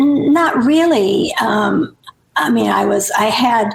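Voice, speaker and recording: Audible room echo surrounds a woman with an American accent. She speaks at a very slow pace. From Nebraska, US Midwest. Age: 70s. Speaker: author. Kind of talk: podcast interview.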